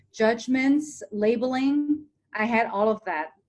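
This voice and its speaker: The pace is fairly slow. A woman's pitch moves in an ordinary way. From Hong Kong, raised in small-town Ohio from age ten. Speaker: TV presenter and motivational speaker. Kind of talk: podcast interview.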